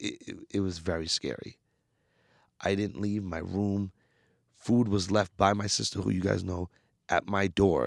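A man speaks at a fairly slow pace with a very deep, low pitch and ordinary pitch variation. The sound is dry and close, with no echo. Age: 20s. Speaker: hip hop artist. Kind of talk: casual chat. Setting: studio.

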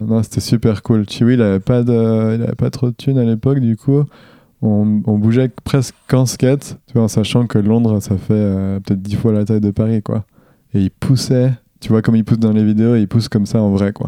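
The man's tone is dark and mellow. He speaks in a monotone, flat way, the sound dry and close with no echo. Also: medium pitch for a man, moderate pace. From eastern France, Jura (Dole). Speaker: professional skateboarder. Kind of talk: casual interview.

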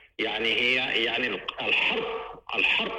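There is audible room echo and noticeable background noise as a man speaks at a fairly slow pace. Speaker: lawyer and political leader. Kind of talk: radio interview. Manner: halting, many fillers.

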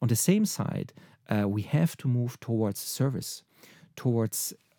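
A man with a German accent speaks at a medium pitch in a dark, mellow tone with ordinary pitch variation, the sound dry and close with no echo on a very clean recording with a silent background. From German-speaking Europe. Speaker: marketing executive. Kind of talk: interview. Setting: studio. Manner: halting.

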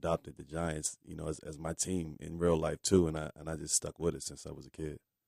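A man with a very deep, low pitch and a dark, mellow tone talks at a fairly quick pace in a flat monotone, with hardly any pauses and a dry, close sound with no echo. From Washington, D.C. area. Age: 30s. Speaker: former NBA basketball player. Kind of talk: interview.

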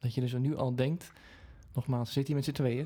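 A man's dark, mellow, somewhat breathy voice at medium pitch, with monotone, flat intonation and a moderate pace. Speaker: singer and podcast co-host. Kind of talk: casual chat.

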